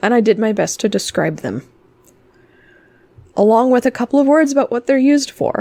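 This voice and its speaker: Dry and close with no echo, a woman's voice has a dark, mellow tone. She moves at a fairly quick pace with ordinary pitch variation. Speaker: crystal healing teacher. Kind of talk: online lecture. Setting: live stream on discord. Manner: casual.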